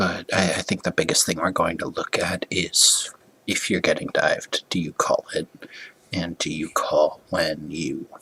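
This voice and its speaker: Quiet voice, dry and close with no echo, amid noticeable background noise. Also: man. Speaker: esports coach reviewing gameplay. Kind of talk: gameplay review commentary. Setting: at home late at night. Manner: halting, many fillers.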